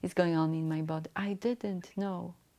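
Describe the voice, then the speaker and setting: A woman speaks with a non-native accent and fairly even intonation. The recording is very clean, with a silent background. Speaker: mentor and motivational speaker. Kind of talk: solo talk to camera. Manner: halting, with hesitations.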